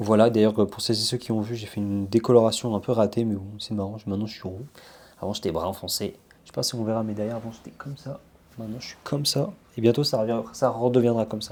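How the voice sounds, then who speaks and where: With big swings in loudness, a man talks at a very fast pace using fairly even intonation. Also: medium pitch for a man. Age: young. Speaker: vlogger. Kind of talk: casual vlog talk to camera. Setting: at home. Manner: hesitant, many filler sounds.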